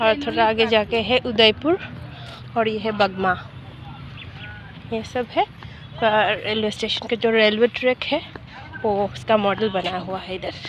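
A woman talks at a fairly slow pace with ordinary pitch variation and long, frequent pauses. Light background noise comes through, and the sound is dry, with no echo. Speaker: tourist vlogger. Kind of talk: casual vlog narration. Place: garden. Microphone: phone near.

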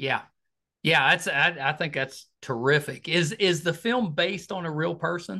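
An enthusiastic man speaks at a moderate pace in a fairly high pitch with a bright, sharp tone, vocal fry and ordinary pitch variation against a quiet background. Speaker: podcast host. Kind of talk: interview. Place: home room. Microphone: video call.

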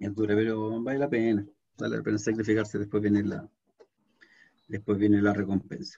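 Over a quiet background, a man with a Chilean accent speaks at a moderate pace and fairly low pitch in a dark, mellow tone. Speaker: programming teacher. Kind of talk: lecture; online class lecture and chat. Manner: halting. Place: home room. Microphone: webcam.

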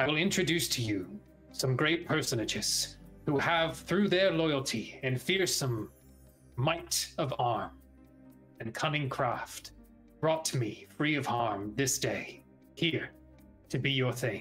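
A put-on character voice speaks at a fairly slow pace with long, frequent pauses. Faint music plays in the background. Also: man, medium pitch for a man. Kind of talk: formal Shakespearean address. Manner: regal, measured, a little tense.

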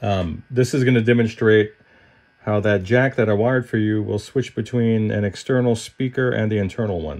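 The speech comes at a moderate pace over a quiet background. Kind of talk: client update demonstration. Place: workshop. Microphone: phone near.

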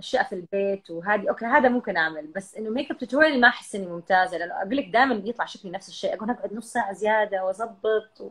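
Talking very fast, a woman shows big swings in loudness and ordinary pitch variation. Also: hardly any pauses. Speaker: live streamer. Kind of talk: casual chat. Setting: video call. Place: home room. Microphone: video call.

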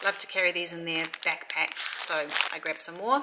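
A woman at a fairly quick pace with ordinary pitch variation, over loud background noise. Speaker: mum vlogger. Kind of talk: casual vlog chat. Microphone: phone near.

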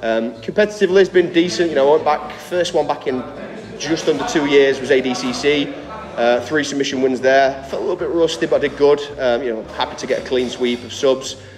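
With noticeable background noise behind him, a man speaks at a fairly quick pace with ordinary pitch variation. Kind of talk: interview answer. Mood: relaxed, reflective. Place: gym.

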